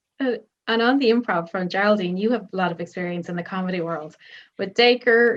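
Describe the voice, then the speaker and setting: A woman speaks with an Irish accent at a fairly quick pace. Her pitch is medium, with ordinary variation. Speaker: film journalist. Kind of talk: press interview.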